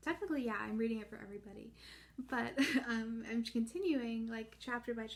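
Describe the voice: The speaker uses plain reading aloud with ordinary pitch variation.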